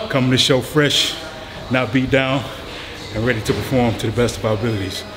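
A man speaks at a fairly quick pace in a monotone, flat intonation. Noticeable background noise runs under his voice. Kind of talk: casual vlog chat. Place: gym.

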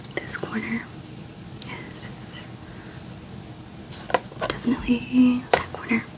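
The speaker whispers at a very slow pace. Long, frequent pauses break up the speech. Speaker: ASMR creator. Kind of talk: ASMR jigsaw puzzle session. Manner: whispered, soft-spoken.

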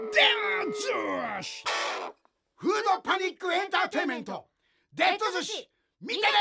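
A man shouts at an extremely high pitch, playful and enthusiastic, with lively intonation at a moderate pace. Long, frequent pauses break up his speech, and music plays in the background. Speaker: actor. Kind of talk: movie trailer. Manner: playful, enthusiastic.

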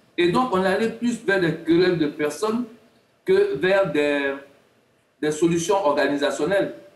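A man with a high pitch talks at a fairly slow pace, leaving long, frequent pauses. His intonation is lively, and audible room echo surrounds his voice. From Côte d'Ivoire. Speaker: sports analyst. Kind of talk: TV panel debate. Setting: remote video link. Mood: earnest, explanatory. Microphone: video call.

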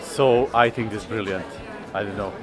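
A man's moderate-paced speech comes with music in the background. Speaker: vlogger. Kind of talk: casual vlog chat. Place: street. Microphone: phone near.

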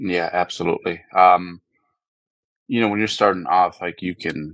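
The sound is dry with no echo over a quiet background. A man with an American accent speaks at a moderate pace. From US, San Francisco. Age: 40s. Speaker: bodybuilding coach. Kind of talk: interview. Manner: halting, many fillers and repeats. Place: home room. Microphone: earbuds.

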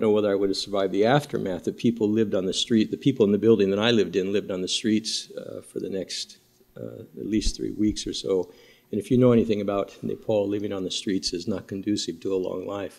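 Against a quiet background, a man with a fairly low pitch and vocal fry talks very fast with ordinary pitch variation. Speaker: priest giving a talk. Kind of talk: presentation talk. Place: hall. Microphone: podium.

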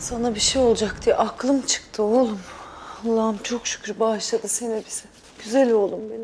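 A woman talks at a moderate pace in a flat monotone. Light background noise can be heard. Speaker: actress playing a mother. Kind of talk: dramatic acted dialogue. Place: home room.

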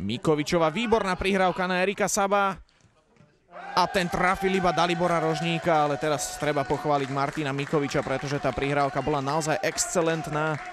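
Noticeable background noise surrounds a man with a fairly high pitch and an animated tone. He talks at a fairly quick pace with ordinary pitch variation. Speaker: football commentator. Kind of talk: live sports commentary, play-by-play over match footage. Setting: studio voiceover over match highlights. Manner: animated, fast play-by-play delivery; informative, naming players and minutes rapidly.

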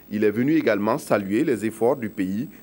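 Lively intonation marks a man's medium-pitched speech at a fairly quick pace. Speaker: news anchor. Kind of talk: news reading. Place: studio.

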